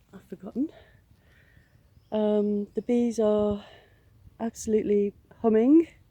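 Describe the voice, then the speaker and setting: A woman with a fairly high pitch and a dark, mellow tone speaks in a somewhat breathy voice with fairly even intonation. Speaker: allotment gardener vlogger. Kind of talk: casual walking tour vlog. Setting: outdoors on allotment. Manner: hesitant, many fillers.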